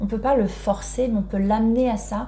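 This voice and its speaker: A woman speaks amid noticeable background noise. Audible room echo colors the recording. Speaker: parenting educator. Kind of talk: video talk. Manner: hesitant, many fillers.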